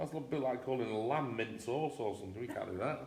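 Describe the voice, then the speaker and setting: A man with an English accent and a medium pitch speaks at a fairly quick pace amid audible room echo. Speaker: teddy bear company co-host. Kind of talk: casual live chat. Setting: livestream. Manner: fast.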